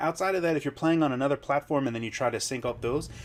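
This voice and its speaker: The speaker is a man with a fairly high pitch. His pitch varies in an ordinary way. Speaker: tech reviewer. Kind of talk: product review. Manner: fast; enthusiastic.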